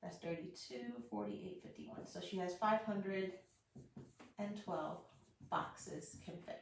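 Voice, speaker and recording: Vocal fry runs through fairly slow speech with very wide pitch swings. Long, frequent pauses break it up, and audible room echo surrounds it. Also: woman, fairly low pitch for a woman. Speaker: math teacher giving online lessons. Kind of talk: live-streamed tutorial. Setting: live stream.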